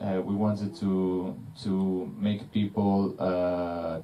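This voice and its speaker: A man with an Italian accent, a very deep, low pitch, a dark, mellow tone and monotone, flat intonation. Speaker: film director. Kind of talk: panel Q&A. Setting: cinema Q&A with audience. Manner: halting, many fillers.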